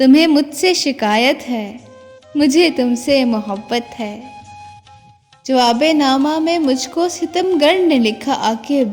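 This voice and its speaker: Soft-spoken and soothing in tone, a woman with a high pitch talks with ordinary pitch variation over music in the background. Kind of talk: poetry reading. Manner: soothing, soft-spoken.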